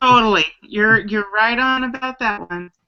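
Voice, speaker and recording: Here a woman has an unremarkable speaking voice with a fairly high pitch. Her pace is moderate. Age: 60s. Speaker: caregiver, chat participant. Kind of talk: casual group video chat. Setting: online video hangout.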